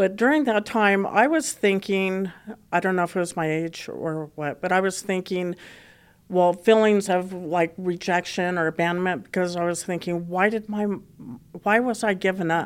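Someone speaks at a moderate pace with an American accent and ordinary pitch variation. The recording is very clean, with a silent background. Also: woman, medium pitch for a woman. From Colorado (Boulder). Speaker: guest sharing faith story. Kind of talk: testimony. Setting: recorded in Colorado. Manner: halting.

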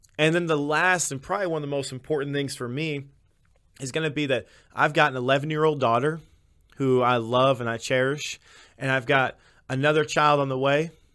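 On a very clean recording with a silent background, a man with an American accent and fairly high pitch talks at a fairly quick pace with fairly even intonation. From Illinois. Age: 20s. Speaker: podcast host. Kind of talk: testimony.

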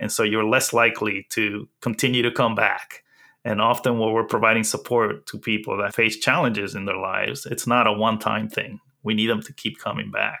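Fairly quick, monotone, flat speech with a Spanish accent. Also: man, medium pitch for a man. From Dominican Republic, then New York City from age eleven. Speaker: accessibility specialist. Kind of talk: interview.

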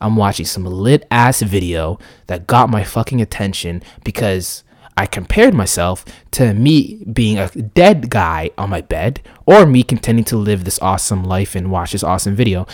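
On a very clean recording with a silent background, a man speaks in a plain, everyday voice, fairly low in pitch, at a moderate pace with ordinary pitch variation. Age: 20s. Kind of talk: casual monologue. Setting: home recording setup.

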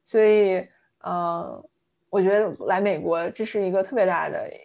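In a very clean recording with a silent background, a woman speaks at a fairly slow pace. Her pitch is medium, with ordinary pitch variation. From southern China, Fujian. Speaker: product manager. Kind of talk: interview conversation. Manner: hesitant with fillers.

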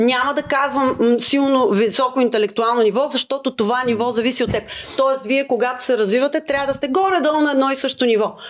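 A high-pitched woman's voice at a fairly quick pace, very even in loudness, with ordinary pitch variation and noticeable background noise. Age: 30s. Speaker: singer-songwriter. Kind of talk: casual chat.

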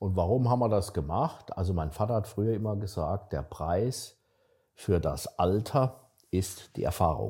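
A man speaks at a fairly low pitch with a somewhat breathy, dark and mellow tone. His fairly slow delivery is captured in a very clean recording with a silent background. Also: ordinary pitch variation. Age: 60s. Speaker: startup investor. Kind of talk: casual chat.

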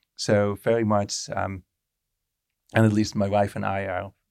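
A man with a Dutch accent speaks in a flat monotone at a fairly low pitch, the sound dry and close with no echo on a very clean recording with a silent background. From Netherlands. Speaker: intercultural trainer. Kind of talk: casual interview conversation.

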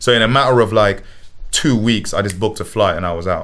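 Someone with a London accent speaks at a very fast pace. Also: man. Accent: London Multicultural English. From England. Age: 20s. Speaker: musician. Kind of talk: casual chat.

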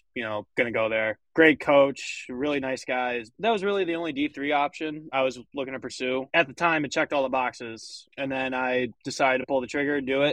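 A man with an American accent uses a normal speaking voice. His pitch is medium and his intonation fairly even. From Michigan. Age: young. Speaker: college hockey player. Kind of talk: casual chat.

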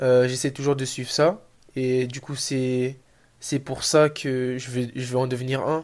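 A man's medium-pitched voice, monotone and flat, at a very slow pace, in a very clean recording over a silent background. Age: 20s. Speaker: athlete and social media motivator. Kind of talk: interview answers. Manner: halting.

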